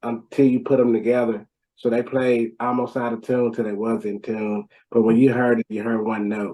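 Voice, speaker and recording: A man with an American accent, medium pitch, dark, mellow tone and moderate pace. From Nashville, Tennessee, US South. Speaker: rap metal band vocalist. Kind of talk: interview.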